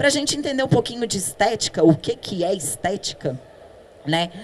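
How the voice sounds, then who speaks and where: Lively intonation from a woman at a medium pitch, moving at a moderate pace. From Brazil, Minas Gerais. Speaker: dentist, implantology specialist. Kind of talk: conference talk. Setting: stage with audience. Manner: conversational, with many fillers.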